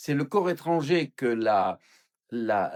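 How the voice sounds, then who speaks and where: Speaking at a very slow pace, a man with a fairly high voice is heard in a dry, close sound with no echo. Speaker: pastor or Bible teacher. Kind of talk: Bible study teaching.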